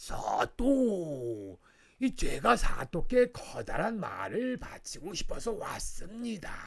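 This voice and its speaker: Putting on a character voice, a man speaks at a very slow pace. His pitch is high. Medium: read story. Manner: eager, self-interested.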